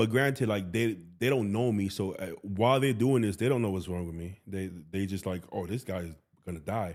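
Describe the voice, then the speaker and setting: A man speaks in an ordinary speaking voice with an American accent and a fairly low pitch. He moves at a fairly quick pace with ordinary pitch variation. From US Northeast, Bronx, New York City. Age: 30s. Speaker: bodybuilder and coach. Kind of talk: casual chat.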